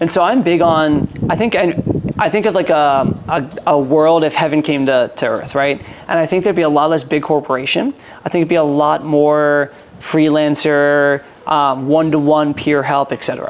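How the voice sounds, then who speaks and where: Over noticeable background noise, a man talks at a moderate pace with a fairly high pitch and fairly even intonation. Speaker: entrepreneur and sales consultant. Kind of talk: casual interview chat.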